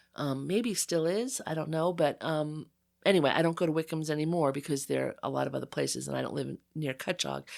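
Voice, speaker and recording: In a very clean recording with a silent background, a woman talks at a very fast pace with an American accent. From US Northeast, Long Island North Fork. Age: 60s. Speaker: photographer and writer. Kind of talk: casual interview chat. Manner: conversational with many fillers.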